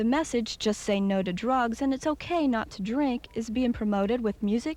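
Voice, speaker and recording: An unremarkable speaking voice from a woman, fairly high in pitch, with ordinary pitch variation at a moderate pace. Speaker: television news reporter. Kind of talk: TV news report voiceover.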